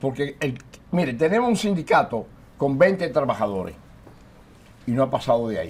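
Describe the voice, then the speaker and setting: The speaker moves at a fairly quick pace, with very wide pitch swings. Long, frequent pauses break up the speech. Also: man, fairly high pitch for a man. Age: 80s+. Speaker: trade union leader. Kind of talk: TV interview.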